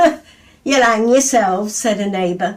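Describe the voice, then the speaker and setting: A woman's fairly high voice moves in very wide pitch swings. It sounds somewhat breathy. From England. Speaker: poet. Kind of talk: poetry reading. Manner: lively.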